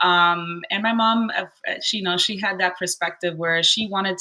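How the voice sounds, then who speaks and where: A woman's fairly low voice, bright and sharp in tone, with monotone, flat intonation. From Southern Florida, Cuban American family. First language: Spanish. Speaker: rental host and investor. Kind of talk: podcast interview. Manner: hesitant, many fillers.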